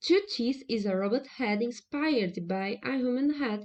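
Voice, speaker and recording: A woman with a Brazilian Portuguese accent speaks at a high pitch and a fairly slow pace. Her intonation is lively. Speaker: researcher. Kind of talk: conference presentation. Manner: formal.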